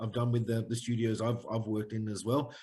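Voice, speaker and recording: A man with an Australian accent speaks fairly quickly in a somewhat breathy, medium-pitched voice with monotone, flat intonation. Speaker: head of games at a crypto gaming company. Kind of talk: AMA interview. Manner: hesitant, many fillers.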